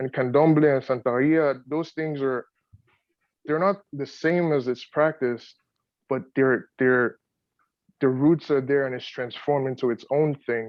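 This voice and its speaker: A man with a Yoruba accent, fairly high pitch, fairly even intonation and long, frequent pauses. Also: fairly slow pace. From Nigeria, Lagos. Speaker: poet, audience participant. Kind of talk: audience comment in Q&A. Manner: halting, many repetitions.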